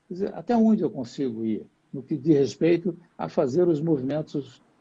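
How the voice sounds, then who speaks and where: A somewhat breathy voice with a dark, mellow tone and lively intonation, against a quiet background. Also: man. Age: 80s. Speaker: jiu-jitsu master. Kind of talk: live interview.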